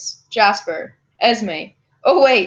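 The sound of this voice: The speaker uses an unforced reading voice with ordinary pitch variation. Behind it, the background is quiet.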